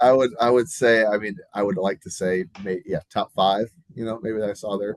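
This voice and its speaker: A man speaks at a moderate pace in a fairly low pitch with ordinary pitch variation. The sound is dry and close, with no echo. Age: 30s. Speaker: podcast co-host. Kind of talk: casual podcast chat. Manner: halting, many fillers.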